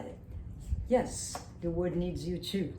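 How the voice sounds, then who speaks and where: Talking with a French accent, a woman with a very deep, low pitch and vocal fry uses ordinary pitch variation in a space with audible room echo. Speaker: teacher and self-styled candidate. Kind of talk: mock campaign pitch. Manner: animated.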